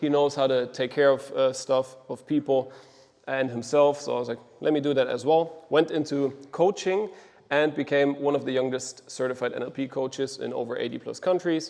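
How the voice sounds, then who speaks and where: With a German accent, a man talks in a fairly high pitch and fairly even intonation. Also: moderate pace. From Germany, Düsseldorf. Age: 20s. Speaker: agency co-founder, operations lead. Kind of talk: mastermind presentation. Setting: group mastermind session. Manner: casual, many fillers.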